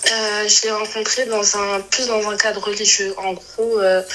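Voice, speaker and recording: Over noticeable background noise, a woman speaks at a very slow pace with a fairly high pitch. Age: 20s. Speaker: caller. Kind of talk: casual chat. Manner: halting.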